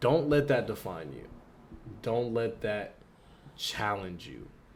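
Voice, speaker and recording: Speaking with an American accent, a man has a medium pitch, lively intonation and vocal fry. The room echo is audible. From Philadelphia, US. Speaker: podcast co-host, college student. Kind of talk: casual chat.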